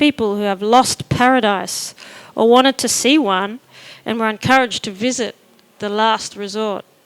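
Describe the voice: The speaker does plain reading aloud.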